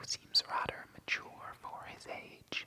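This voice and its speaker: A man's whispering in a gentle tone, with noticeable background noise. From Ireland. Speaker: ASMR reader / gaming channel host. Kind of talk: ASMR soft-spoken reading of a game guide. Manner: whispered, soft-spoken, gentle.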